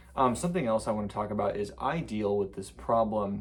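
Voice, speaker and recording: A man talks at a fairly quick pace and a fairly low pitch. There is audible room echo. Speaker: vlogger. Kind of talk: casual vlog monologue. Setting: talking to a camera. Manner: halting, with repetitions and fillers.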